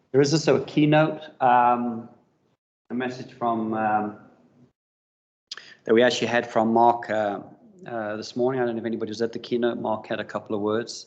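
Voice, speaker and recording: With a South African accent, the speaker talks at a moderate pace in fairly even intonation, leaving long, frequent pauses. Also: man. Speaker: business development manager, industry presenter. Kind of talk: conference presentation. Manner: hesitant, many fillers.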